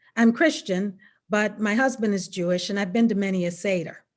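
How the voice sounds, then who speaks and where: Here a woman with an American accent speaks at a medium pitch and moderate pace in an ordinary speaking voice. The recording is very clean, with a silent background. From US South, Mississippi. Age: 60s. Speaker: attorney. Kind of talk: prepared speech.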